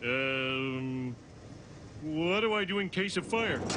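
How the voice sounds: In a cartoonish character voice, a man speaks at a fairly high pitch and a very slow pace over clear background noise.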